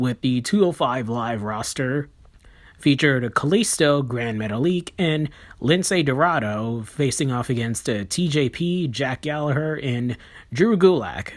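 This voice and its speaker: The speech is quiet and fairly slow. It comes on a very clean recording with a silent background. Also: man. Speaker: wrestling reviewer. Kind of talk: review monologue. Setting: at home. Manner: quiet, subdued.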